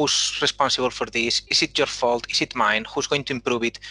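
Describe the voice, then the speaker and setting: Speaking at a moderate pace with a Spanish accent, a man with a medium-pitched voice is recorded with a dry, close sound and no echo. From Spain. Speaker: engineering manager. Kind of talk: panel discussion.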